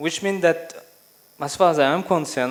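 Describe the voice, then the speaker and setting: Talking at a fairly quick pace, a man uses ordinary pitch variation. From France. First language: French. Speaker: education speaker. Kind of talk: conference speech. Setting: stage with audience. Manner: halting, with frequent fillers.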